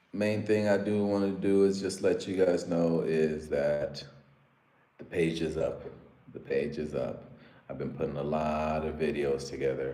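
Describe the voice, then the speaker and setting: Over noticeable background noise and audible room echo, a man speaks with an American accent at a fairly low pitch. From US, Africa-born. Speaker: live streamer. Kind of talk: casual live stream chat. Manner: animated.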